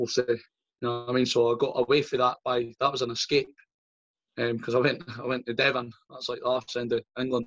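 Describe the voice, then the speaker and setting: A man speaks at medium pitch in a Scottish accent, at a fairly quick pace. His intonation is monotone and flat, and the sound is dry and close with no echo. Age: 30s. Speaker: strength athlete and coach. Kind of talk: casual chat.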